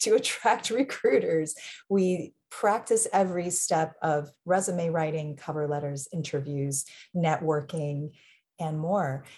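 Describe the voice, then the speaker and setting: A woman's somewhat breathy voice has a dark, mellow tone and ordinary pitch variation. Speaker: university program director and producer. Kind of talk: reading audience questions.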